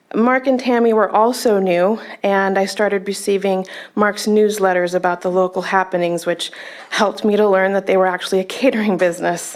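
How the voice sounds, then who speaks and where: Over noticeable background noise, the speaker keeps a fairly quick pace, very even loudness and fairly even intonation. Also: woman, medium pitch for a woman. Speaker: public commenter at a meeting. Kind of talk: public comment read from notes. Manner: halting.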